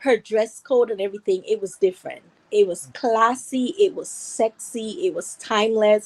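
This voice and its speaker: A woman speaks with a Guyanese accent at a fairly high pitch. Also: lively intonation, moderate pace. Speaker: viewer calling in. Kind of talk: casual chat.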